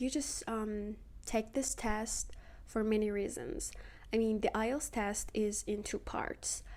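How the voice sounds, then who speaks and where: A woman speaks very slowly in a Persian accent. Her fairly high voice has a dark, mellow tone. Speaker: social media creator. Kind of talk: casual vlog talk to camera. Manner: hesitant, many fillers.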